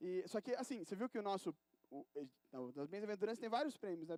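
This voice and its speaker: A man with a high pitch is heard in a dry, close sound with no echo. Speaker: preacher. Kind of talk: sermon. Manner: fast; casual, hesitant with fillers.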